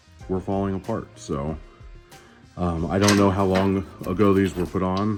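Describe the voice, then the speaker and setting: Music plays in the background as a man speaks. His pitch is very deep and low, and his tone is relaxed. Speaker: home motorcycle mechanic. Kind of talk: DIY repair tutorial narration. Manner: casual, relaxed, many filler words.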